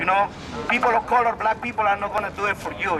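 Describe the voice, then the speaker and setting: Against noticeable background noise, a man speaks at a high pitch with fairly even intonation. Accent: strong non-native. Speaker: protest speaker. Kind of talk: rally speech. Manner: halting.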